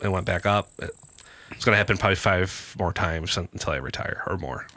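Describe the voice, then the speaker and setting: A man's very deep, low voice at a very fast clip, with ordinary pitch variation over noticeable background noise. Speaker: podcast co-host. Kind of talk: casual chat.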